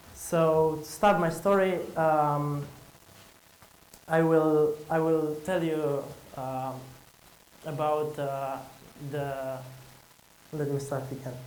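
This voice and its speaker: Amid audible room echo, a man with a Romanian accent speaks very slowly at a fairly high pitch, his intonation monotone and flat, with long, frequent pauses. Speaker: conference speaker, entrepreneur. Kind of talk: conference talk. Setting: stage with audience. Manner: halting.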